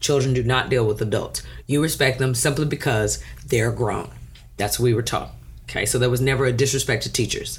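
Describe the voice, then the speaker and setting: Audible room echo follows a woman as she talks fairly quickly. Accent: American. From US South, Houston area, Texas. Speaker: math and science teacher. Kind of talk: casual chat.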